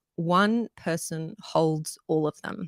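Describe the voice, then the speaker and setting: A woman speaks in an Australian accent with ordinary pitch variation. The sound is dry and close, with no echo. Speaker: strata lawyer and livestream host. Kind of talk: live Q&A stream explaining law. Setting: live online broadcast. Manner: conversational with frequent fillers.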